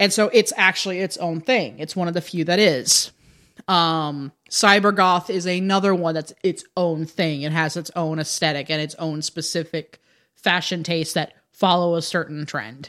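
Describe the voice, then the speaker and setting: An unremarkable speaking voice from a woman, fairly low in pitch with ordinary pitch variation, at a moderate pace on a very clean recording with a silent background. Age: 30s. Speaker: drag performer and goth. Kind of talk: casual chat. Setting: studio.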